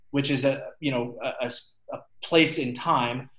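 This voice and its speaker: Speaking with an American accent, a man's voice comes across as somewhat breathy. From US Midwest, St. Louis, Missouri. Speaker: army engineer and lacrosse goalie. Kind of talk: casual interview.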